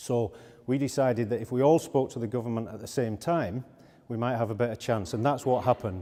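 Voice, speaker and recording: A man in a Yorkshire accent talks at a fairly quick pace. His medium-pitched voice has a dark, mellow tone and ordinary pitch variation. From Yorkshire, northern England. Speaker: automotive industry executive. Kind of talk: conference talk.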